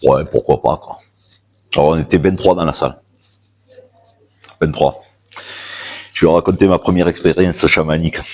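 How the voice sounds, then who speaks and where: A man speaks at a moderate pace. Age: 50s. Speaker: shamanism practitioner giving a talk. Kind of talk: public talk with personal storytelling. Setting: stage with audience at a fair. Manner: loud.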